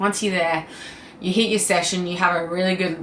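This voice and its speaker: A woman talks with fairly even intonation amid noticeable background noise and audible room echo. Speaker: fitness vlogger. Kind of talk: casual Q&A vlog.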